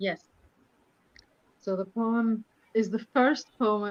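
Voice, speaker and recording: With a Greek accent, a woman speaks very slowly at a fairly high pitch, keeping her intonation fairly even and leaving long, frequent pauses. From Greece. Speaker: poet and translator.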